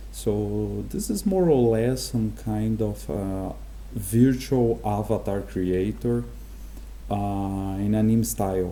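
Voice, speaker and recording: A man with a Portuguese accent speaks very slowly. Audible room echo surrounds his voice. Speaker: game development tutorial creator. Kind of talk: tutorial. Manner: halting, many fillers.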